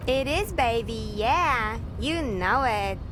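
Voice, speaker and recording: Loud background noise runs under the clip. A woman uses a put-on character voice at a very slow pace. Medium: video game.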